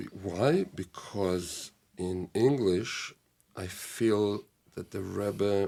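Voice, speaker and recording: Speaking very slowly in an Israeli accent, a man uses a dark, mellow tone at a fairly low pitch, in a very clean recording with a silent background. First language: Hebrew. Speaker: rabbi and teacher. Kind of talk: casual interview conversation. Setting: studio.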